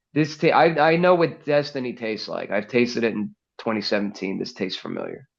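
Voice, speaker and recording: Over a quiet background, a man talks at a fairly quick pace. His pitch is medium and his intonation lively. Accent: American. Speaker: NFL podcaster and sports commentator. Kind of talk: casual podcast chat. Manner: calm, measured.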